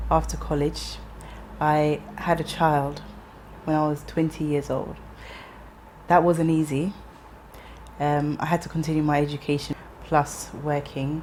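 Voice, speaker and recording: Speaking at a fairly slow pace with long, frequent pauses, a woman uses a very deep, low voice with monotone, flat intonation. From London, England. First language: Ga. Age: 30s. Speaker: interviewee. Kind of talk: personal testimony interview.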